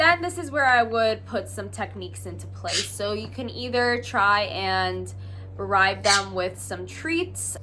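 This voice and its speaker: A woman talks fairly slowly. Music can be heard behind her. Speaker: pet bird care educator. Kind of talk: casual talk to camera. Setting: lawnmower noise in background.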